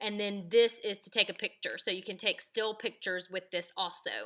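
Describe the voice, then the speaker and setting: A woman speaks loudly at a moderate pace, her medium-pitched voice bright and sharp in tone. The recording is very clean, with a silent background. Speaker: video creator. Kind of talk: tutorial. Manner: casual, with many fillers.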